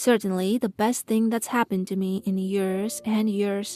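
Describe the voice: The text is read out plainly. Its intonation is fairly even.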